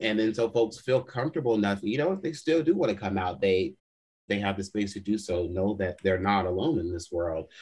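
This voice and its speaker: With an American accent, a man speaks at a fairly quick pace in a fairly low, somewhat breathy voice with lively intonation. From Los Angeles, US West Coast. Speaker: podcast guest. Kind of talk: casual chat. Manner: animated.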